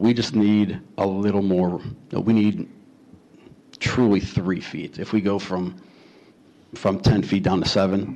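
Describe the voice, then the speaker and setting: With a Chicago accent, the speaker goes at a fairly slow pace in a dark, mellow tone, with fairly even intonation and long, frequent pauses. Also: man, fairly low pitch for a man. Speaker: homeowner applicant at city board hearing. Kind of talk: public hearing testimony.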